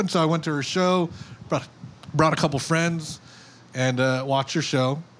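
A man's high-pitched voice at a moderate pace. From Hawaii, Oahu west side. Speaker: tattoo artist and BMX judge. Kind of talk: casual chat.

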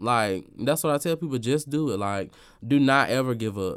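With ordinary pitch variation and a medium pitch, a man talks on a very clean recording with a silent background. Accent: Southern US. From US South. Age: 20s. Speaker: event host and influencer. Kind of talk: casual interview. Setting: radio studio. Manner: talkative.

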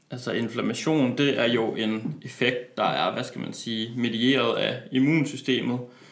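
With noticeable background noise and audible room echo, a man speaks at a fairly slow pace in monotone, flat intonation, with hardly any pauses. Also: medium pitch for a man. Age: 20s. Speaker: personal trainer and medical student. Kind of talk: interview. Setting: studio.

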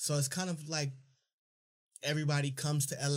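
This man's voice is somewhat breathy. The recording is very clean, with a silent background. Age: 20s. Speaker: podcast host. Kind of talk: casual chat. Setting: studio.

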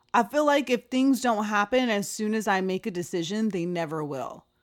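A woman with a fairly high pitch speaks at a moderate pace in an animated tone. Her intonation is lively, on a very clean recording with a silent background. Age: 30s. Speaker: podcast host. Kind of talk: casual monologue.

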